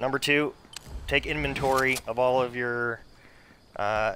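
A man talks at a fairly slow pace with a bright, sharp tone and ordinary pitch variation. Light background noise is present. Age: 30s. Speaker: gaming streamer. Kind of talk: casual live stream chat while gaming. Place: home room.

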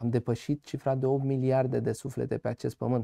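A man's voice, dark and mellow in tone, with a dry sound and no echo. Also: quiet background. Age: 20s. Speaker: farmer and agronomist; guest. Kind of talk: TV interview. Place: studio.

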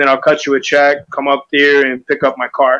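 The background is quiet. A man with a fairly high pitch speaks at a moderate pace. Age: 40s. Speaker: car buyer, sales and marketing worker. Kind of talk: testimonial. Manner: halting. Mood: relaxed, laughing at times. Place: studio. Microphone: lapel.

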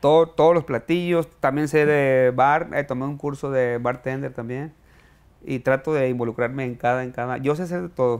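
Using fairly even intonation, a man speaks at a moderate pace. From Mexico, Sinaloa (Culiacán area); Sinaloa, Mexico. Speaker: chef and restaurant owner; interview guest. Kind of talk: interview. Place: studio.

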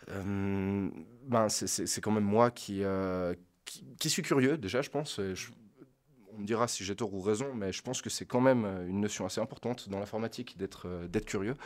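A man with a fairly low pitch speaks at a fairly slow pace with long, frequent pauses and ordinary pitch variation on a very clean recording with a silent background. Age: 30s. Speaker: adult apprentice developer. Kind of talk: casual chat.

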